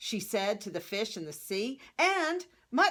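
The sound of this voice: An unforced reading voice. It comes across easy and natural.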